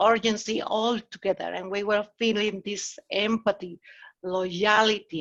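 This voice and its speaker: Against a quiet background, a woman with a Mexican accent speaks at a very slow pace and fairly high pitch with fairly even intonation. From Mexico. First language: Spanish. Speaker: agile consultant. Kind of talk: meetup talk. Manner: casual, conversational.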